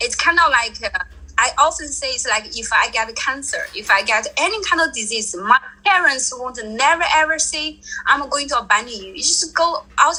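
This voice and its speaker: A woman with a Chinese accent speaks in a raised, projected voice at an extremely high pitch with very wide pitch swings. Her pace is moderate, and background noise is noticeable. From China. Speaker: traveler. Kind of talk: interview.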